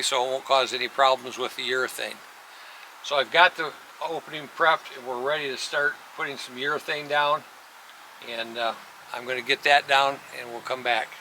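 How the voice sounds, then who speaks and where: Over noticeable background noise, a man with a fairly high pitch talks at a fairly quick pace with fairly even intonation and big swings in loudness. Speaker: auto glass installer. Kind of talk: tutorial. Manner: casual.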